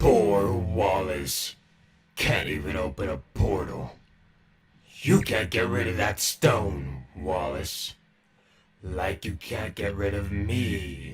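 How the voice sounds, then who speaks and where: In a put-on character voice, a man speaks raspy and menacing at a very deep, low pitch, very slowly, with long, frequent pauses and ordinary pitch variation. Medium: tutorial demo. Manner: taunting, menacing.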